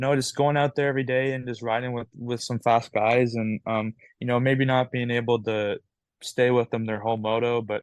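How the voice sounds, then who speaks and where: A man at a medium pitch with a slight Canadian accent, moderate in pace, his intonation monotone and flat. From Canada. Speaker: amateur ATV motocross racer. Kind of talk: interview. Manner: halting, many fillers.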